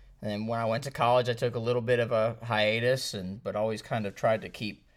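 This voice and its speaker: This man has an ordinary speaking voice at a medium pitch, with an American accent and fairly even intonation, on a very clean recording with a silent background. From Missouri, US Midwest (St. Louis). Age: 30s. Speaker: martial arts instructor. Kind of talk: casual interview.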